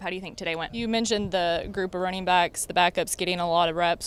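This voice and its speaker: A woman's raised, projected voice over music in the background. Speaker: sports sideline reporter. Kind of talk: sports sideline reporting and interview questions.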